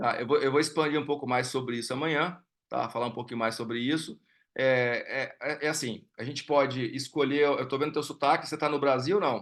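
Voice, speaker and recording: A man speaks at a fairly quick pace in a fairly high pitch. His intonation is fairly even, and the background is quiet. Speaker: investment educator. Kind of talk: live online class with Q&A. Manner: halting, many fillers and repetitions.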